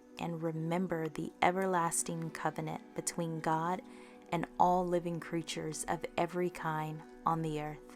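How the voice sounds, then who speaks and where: Music plays in the background as a woman talks at a fairly low pitch. Her pace is fairly slow and her intonation monotone and flat. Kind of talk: scripture reading.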